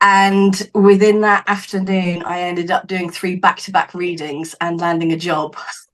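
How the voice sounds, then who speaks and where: Using a southern English accent, a woman speaks at a moderate pace with fairly even intonation and hardly any pauses. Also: medium pitch for a woman. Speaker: psychic medium and healer. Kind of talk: podcast interview.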